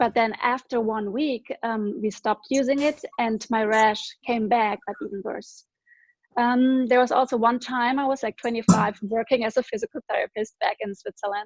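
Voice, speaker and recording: A woman's fairly high-pitched voice, dry and close with no echo, against a quiet background. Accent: German. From Germany. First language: German. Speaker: former physical therapist, network marketer. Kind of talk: personal testimony.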